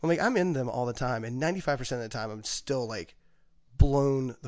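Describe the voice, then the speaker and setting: A man with an American accent speaks at a fairly quick pace in an ordinary speaking voice. His pitch is medium with ordinary variation, and his loudness swings widely. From US South, southwestern Virginia (Pulaski County). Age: 40s. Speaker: chef and restaurant owner. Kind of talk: casual chat. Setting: studio.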